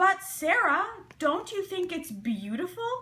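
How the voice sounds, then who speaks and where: A woman's put-on character voice, extremely high in pitch, with very wide pitch swings at a fairly slow pace. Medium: read story. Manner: earnest, determined.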